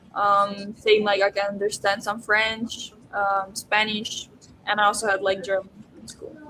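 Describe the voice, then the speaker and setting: Speaking fairly slowly with a Slovenian accent, a woman keeps a medium pitch and a monotone, flat intonation. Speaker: basketball player. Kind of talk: casual chat.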